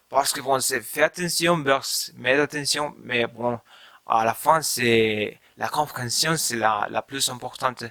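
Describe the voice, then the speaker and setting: A man speaks very slowly with a Spanish accent, his medium pitch showing ordinary variation. His tone is bright and sharp. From Mexico. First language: Spanish (speaking French). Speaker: language learner vlogger. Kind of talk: casual vlog talk. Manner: halting, many fillers.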